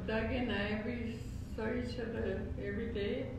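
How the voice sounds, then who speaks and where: A woman's voice carries strong room echo along with noticeable background noise. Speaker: elderly aunt. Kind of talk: casual conversation. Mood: relaxed, cheerful. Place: home room.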